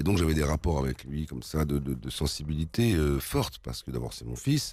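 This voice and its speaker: A man talks at a fairly quick pace in a very deep, low pitch. His tone is dark and mellow, with ordinary pitch variation. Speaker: singer and actor. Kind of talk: interview answer.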